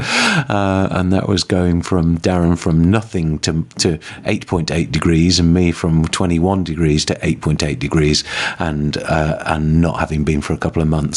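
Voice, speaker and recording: Over noticeable background noise, a man speaks at a fairly slow pace in a very deep, low pitch with fairly even intonation. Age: 50s. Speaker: podcast host. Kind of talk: casual chat.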